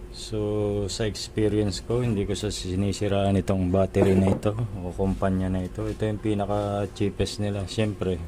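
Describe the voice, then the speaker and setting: A man at a fairly low pitch with fairly even intonation, moving at a moderate pace over noticeable background noise. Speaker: DIY video maker. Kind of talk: tutorial. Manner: soft-spoken.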